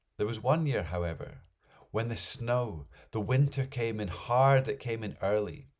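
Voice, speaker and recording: This man's voice has vocal fry and a medium pitch. He talks at a moderate pace. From Scotland. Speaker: storyteller. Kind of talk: folk tale storytelling.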